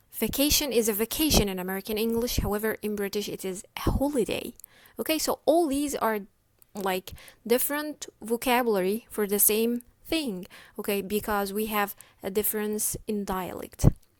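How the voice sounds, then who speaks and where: Over a silent background in a very clean recording, a woman has a plain, everyday voice, fairly high in pitch with ordinary pitch variation. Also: moderate pace. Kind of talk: educational lecture.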